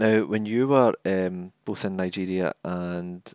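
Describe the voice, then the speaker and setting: A man with a Scottish accent speaks at a fairly low pitch. The recording is very clean with a silent background, and the sound is dry and close with no echo. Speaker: podcast host, charity communications officer. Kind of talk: interview conversation.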